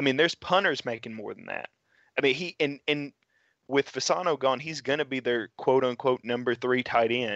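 Against a quiet background, a man with a Tennessee accent talks at a moderate pace with big swings in loudness. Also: medium pitch for a man, ordinary pitch variation, dry, close sound with no echo. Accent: Southern US (Tennessee). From West Tennessee, Dyersburg. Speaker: sports podcast co-host and writer. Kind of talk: casual chat.

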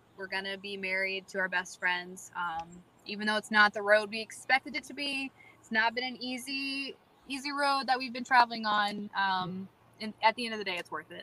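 A fairly high female voice with an American accent at a fairly quick pace, ordinary pitch variation and big swings in loudness, against noticeable background noise. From US South, North Carolina. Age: 20s. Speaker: bride-to-be. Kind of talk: casual chat.

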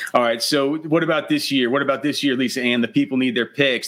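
A man speaks at medium pitch. His intonation is fairly even. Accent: American. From Texas. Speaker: fantasy football podcast host. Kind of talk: casual interview chat.

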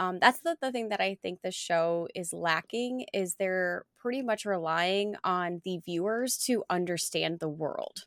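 A woman at medium pitch talks at a fairly slow pace with hardly any pauses and ordinary pitch variation. The sound is dry and close with no echo, in a very clean recording with a silent background. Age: 30s. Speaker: writer and mental health counselor. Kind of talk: casual chat. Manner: smooth, well-modulated.

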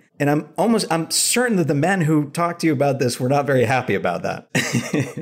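Through noticeable background noise, a man talks with lively intonation, very even loudness and hardly any pauses. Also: fairly high pitch for a man, fairly quick pace. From US Northeast, Rhode Island. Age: 30s. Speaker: therapist. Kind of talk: casual interview.

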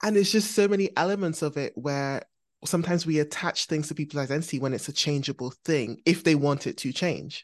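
Against a quiet background, a woman talks very fast in a very deep, low pitch with ordinary pitch variation. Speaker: podcast host. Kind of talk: casual interview chat.

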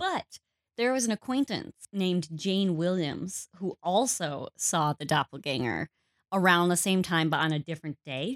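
Recorded very cleanly against a silent background, a woman with a Wisconsin accent speaks at a moderate pace. Her pitch sits fairly low and her intonation is lively. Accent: Upper Midwest (Wisconsin). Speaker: podcast co-host. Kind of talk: casual chat.

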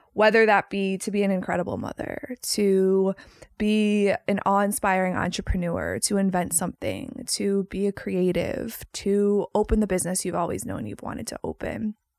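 Moderate pace, hardly any pauses, and a dry, close sound with no echo. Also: woman, medium pitch for a woman. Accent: Chicago. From US Midwest, Chicago. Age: 30s. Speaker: podcast host. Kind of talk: solo podcast intro. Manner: animated.

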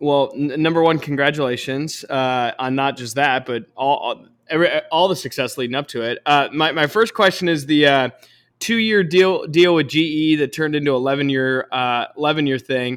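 On a very clean recording with a silent background, a man with a plain, everyday voice speaks at a moderate pace, his pitch fairly high with ordinary variation. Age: 20s. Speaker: podcast host. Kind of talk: podcast interview.

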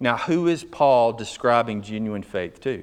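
A man with an unremarkable speaking voice talks at a medium pitch and a fairly slow pace in a very clean recording with a silent background. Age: 50s. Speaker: pastor. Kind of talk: sermon. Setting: church.

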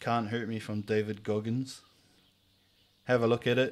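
With a New Zealand accent, a man speaks at a moderate pace in a fairly low voice with monotone, flat intonation, on a very clean recording with a silent background. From New Zealand, Whangarei. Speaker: podcast host. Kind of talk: casual chat.

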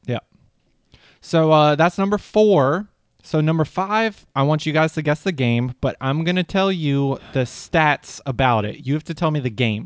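The voice is a normal speaking voice, moving at a moderate pace with lively intonation. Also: man, fairly high pitch for a man. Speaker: podcast host. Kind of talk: casual comedy podcast chat.

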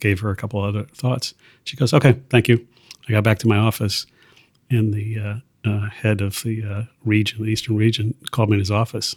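A man with an American accent, fairly low in pitch and somewhat breathy, at a fairly quick pace with monotone, flat intonation, in a dry, close sound with no echo on a very clean recording with a silent background. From US Midwest, Columbus, Ohio. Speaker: retired business executive. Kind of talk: casual chat. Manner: halting, many fillers.

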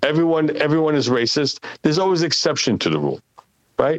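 A man speaks with an Israeli accent. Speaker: architect. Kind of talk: casual chat.

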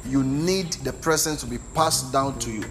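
A man's voice amid noticeable background noise. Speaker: preacher. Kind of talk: sermon. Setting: church with live congregation. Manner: animated, rhetorical, call-and-response with the congregation; emphatic, repeating lines for effect.

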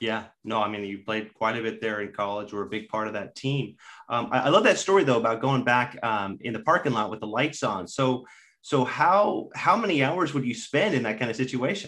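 A man talks at a medium pitch in an ordinary speaking voice. His pace is fairly quick and his intonation lively. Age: 30s. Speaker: golf podcast host and reporter. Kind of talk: casual interview.

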